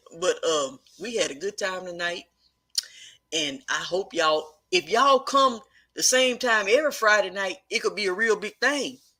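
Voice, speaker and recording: A woman with a Texan accent, medium-pitched and bright, sharp in tone, at a moderate pace with very wide pitch swings. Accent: Texan country. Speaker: live-stream host, online business coach. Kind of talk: casual live-stream chat. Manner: relaxed, conversational.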